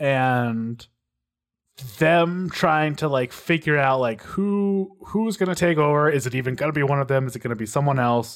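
A man with an American accent has a normal speaking voice and fairly high pitch. His pace is moderate, with ordinary pitch variation. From Texas. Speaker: podcast co-host. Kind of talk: casual chat.

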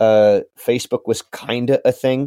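A man with a West Coast accent speaks in a dark, mellow tone. The recording is very clean, dry and close, with no echo and a silent background. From Southern Oregon. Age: 30s. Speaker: singer-songwriter. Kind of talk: casual interview.

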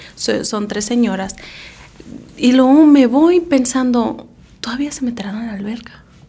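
At a fairly slow pace with long, frequent pauses, a woman speaks in a high voice with ordinary pitch variation, audible room echo and noticeable background noise. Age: 30s. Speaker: podcast co-host. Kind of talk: casual chat.

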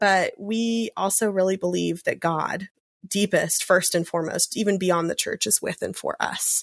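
A woman speaks in a Southern US accent. The sound is dry and close, with no echo. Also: moderate pace. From US South. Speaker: Episcopal priest and podcast co-host. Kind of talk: casual chat.

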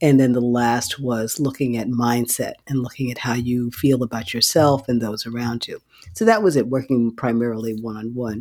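A man's medium-pitched voice at a moderate pace, an unremarkable speaking voice with fairly even intonation and hardly any pauses. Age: 60s. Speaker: physician. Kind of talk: interview.

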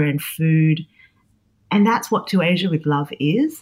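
A woman speaks with an Australian accent at a fairly slow pace. Her voice is somewhat breathy. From Australia, Sydney. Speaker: cookbook author. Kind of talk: interview conversation. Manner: hesitant, many fillers.

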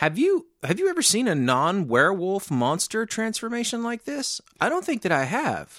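On a very clean recording with a silent background, a man with an American accent speaks at a moderate pace with hardly any pauses, using a high pitch and very wide pitch swings. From Arkansas, US South. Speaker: film podcast co-host. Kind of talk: casual chat.

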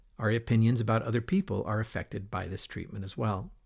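With an American accent, a man of medium pitch speaks at a fairly quick pace in a somewhat breathy voice on a very clean recording with a silent background. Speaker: podcast host. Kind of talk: scripted narration.

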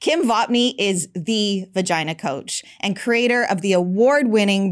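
A woman speaks in a normal speaking voice at medium pitch with ordinary pitch variation. Her pace is fairly slow, and the recording is very clean with a silent background. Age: 50s. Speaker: podcast host and women's health educator. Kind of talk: interview.

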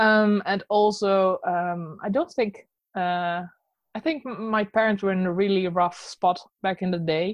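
The speaker has a Dutch accent and a fairly slow pace. Pitch variation is ordinary. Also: woman, medium pitch for a woman. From Netherlands. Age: 30s. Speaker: illustrator. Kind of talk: casual interview chat.

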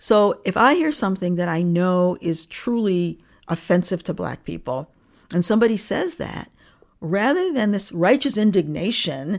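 Her voice is an unremarkable speaking voice, and she is a woman with an American accent and a medium pitch. She talks at a fairly slow pace in a very clean recording with a silent background. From Niagara Falls, New York, US. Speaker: diversity consultant and author. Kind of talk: interview.

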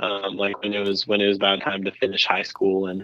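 The speaker talks at a fairly quick pace. They have an American accent. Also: man. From Los Angeles, California. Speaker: singer-songwriter. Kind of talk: casual interview chat.

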